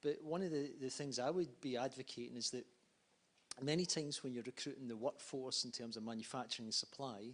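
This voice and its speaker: At a fairly quick pace, a man with an ordinary speaking voice talks at medium pitch with ordinary pitch variation. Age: 50s. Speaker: conference panelist. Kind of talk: panel discussion.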